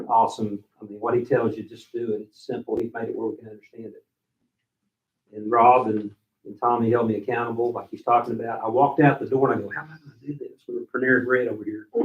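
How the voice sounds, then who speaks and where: A man's medium-pitched, very fast delivery, monotone and flat, with big swings in loudness. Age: 60s. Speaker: workshop attendee. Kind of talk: personal testimony.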